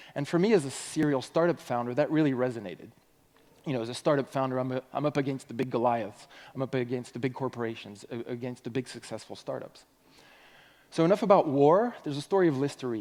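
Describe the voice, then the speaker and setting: Speaking very fast, a man keeps a medium pitch with ordinary pitch variation. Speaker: conference speaker. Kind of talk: conference talk. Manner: animated.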